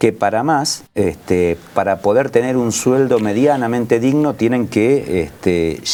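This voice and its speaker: An unremarkable speaking voice, this man's delivery has lively intonation, very even loudness, and hardly any pauses. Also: medium pitch for a man. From Argentina, Buenos Aires coast (Pinamar area). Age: 60s. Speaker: local political candidate. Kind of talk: political discussion.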